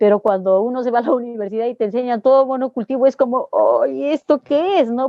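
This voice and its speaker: Her pitch high and her intonation lively, a woman speaks. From Peru. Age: 60s. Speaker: organic dairy farmer and agronomist. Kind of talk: interview answer.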